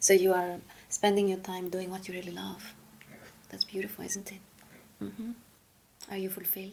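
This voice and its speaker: Fairly quick speech with long, frequent pauses over noticeable background noise. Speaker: hypnosis practitioner. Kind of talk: guided hypnosis questioning.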